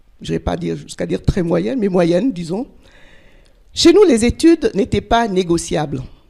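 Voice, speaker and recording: A woman speaks at a fairly slow pace. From Togo (West Africa). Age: 60s. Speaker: life coach, conference speaker. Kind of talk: personal testimony talk. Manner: halting, with fillers.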